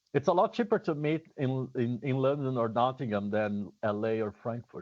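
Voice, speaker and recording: Someone with a Brazilian accent speaks at a moderate pace with lively intonation. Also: man, medium pitch for a man. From southern Brazil. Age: 50s. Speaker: drummer and drum teacher. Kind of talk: casual chat.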